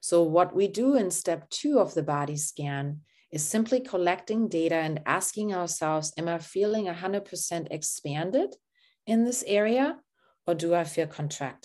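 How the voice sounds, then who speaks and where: This woman has a German accent and a fairly low pitch, with lively intonation and a calm tone. The background is quiet. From Germany. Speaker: therapist and coach. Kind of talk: guided body-scan session; casual interview chat. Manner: slow, calm guiding.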